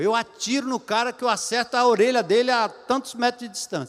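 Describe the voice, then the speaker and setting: The speaker is a man with a high-pitched voice. He talks at a moderate pace. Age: 70s. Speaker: pastor. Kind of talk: sermon.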